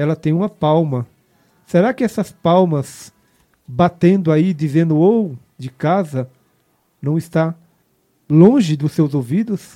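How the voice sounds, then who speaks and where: In a dry, close recording with no echo, a man with a fairly high pitch and a dark, mellow tone speaks at a fairly slow pace with ordinary pitch variation. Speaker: prayer group leader. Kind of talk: prayer; testimony. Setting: online radio broadcast.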